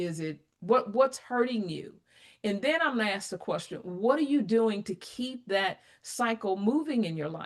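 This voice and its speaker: Her pitch fairly high, a woman speaks at a moderate pace with lively intonation and big swings in loudness. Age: 60s. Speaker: applied AI advisor. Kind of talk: interview conversation. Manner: animated.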